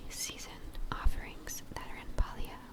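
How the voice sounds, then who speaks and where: Whispering over noticeable background noise. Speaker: ASMR gaming content creator. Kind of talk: whispered ASMR gaming commentary. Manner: soft-spoken, whispering, cozy.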